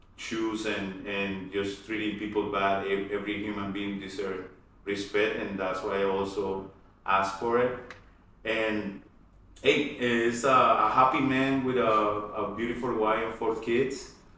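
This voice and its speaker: With a Spanish accent, a man speaks at a fairly slow pace in a fairly low pitch with fairly even intonation, amid noticeable background noise and audible room echo. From Colombia, Cali. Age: 40s. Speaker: aerospace engineer. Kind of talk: interview conversation. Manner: halting, many repetitions.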